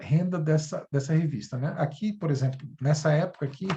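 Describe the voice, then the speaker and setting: His tone is dark and mellow, his pitch on the higher side for a man, and his speech comes at a middling speed. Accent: Brasília. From Brasília, Federal District, Brazil. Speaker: university English teacher. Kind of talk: educational video presentation. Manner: halting, many fillers.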